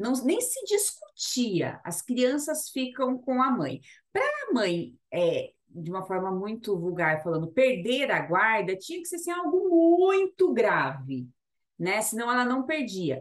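Pitch swings very widely throughout. The delivery is fairly slow. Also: woman, high pitch for a woman. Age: 30s. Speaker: labour lawyer, podcast co-host. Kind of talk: casual legal chat.

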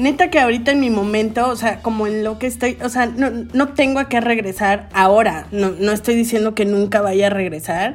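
A woman talks at a fairly quick pace with hardly any pauses, her fairly high pitch showing ordinary variation. Background noise is noticeable. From Veracruz, Mexico (Xalapa and Puerto de Veracruz). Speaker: podcast co-host. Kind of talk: casual chat.

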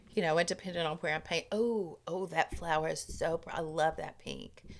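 A woman speaks at a moderate pace in an ordinary speaking voice, fairly low-pitched with ordinary pitch variation, on a very clean recording with a silent background. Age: 50s. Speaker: retired art teacher. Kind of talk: casual chat.

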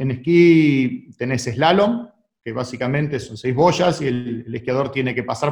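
A man's somewhat breathy, fairly high-pitched voice at a moderate pace. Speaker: sports federation president. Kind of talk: radio interview. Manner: halting, many repetitions.

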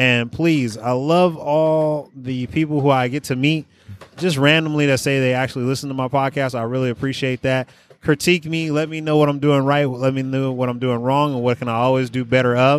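With an American accent and a plain, everyday voice, a man speaks at medium pitch and a fairly quick pace with fairly even intonation. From Oakland, California. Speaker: podcast host. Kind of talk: casual interview chat. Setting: at a bistro.

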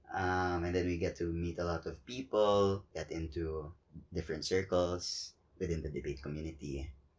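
Speaking with a Cebuano accent, a man with a very deep, low pitch and a somewhat breathy voice talks at a moderate pace with fairly even intonation, in a very clean recording with a silent background. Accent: Cebuano Filipino English. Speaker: podcast co-host. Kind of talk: casual chat.

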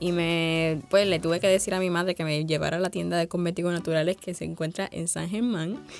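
With music in the background, a woman speaks in a Puerto Rican accent at a fairly low pitch. Her delivery is fairly quick and monotone, with flat intonation and hardly any pauses. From Puerto Rico, Sabana Grande. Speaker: university student entrepreneur. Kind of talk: interview.

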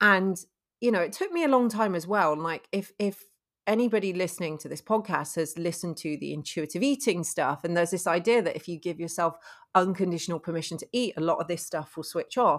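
With an ordinary speaking voice, a woman talks at a fairly quick pace and fairly low pitch with ordinary pitch variation, on a very clean recording with a silent background. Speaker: nutritionist podcast host. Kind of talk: casual chat. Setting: same room, face to face.

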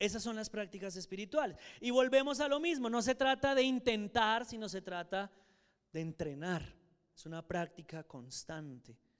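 Very wide pitch swings from a high-pitched man at a moderate pace. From Colombia, Soacha (Cundinamarca). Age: 60s. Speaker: church teacher. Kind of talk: Bible class lecture.

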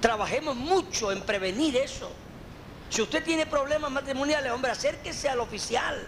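A man speaks at a fairly slow pace in an extremely high voice with ordinary pitch variation. Noticeable background noise is present. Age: 50s. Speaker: pastor. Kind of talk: teaching session answering questions from congregation.

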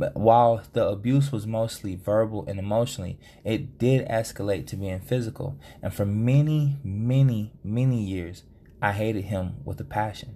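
A man with a fairly low pitch and a dark, mellow tone sounds somewhat breathy. He keeps a moderate pace with ordinary pitch variation. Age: 30s. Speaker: podcast host. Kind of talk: solo podcast monologue.

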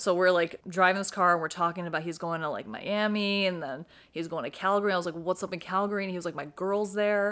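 A woman talks in an animated tone at medium pitch and a very fast pace, with hardly any pauses, on a very clean recording with a silent background. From New York City. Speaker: podcast co-host. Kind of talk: casual chat.

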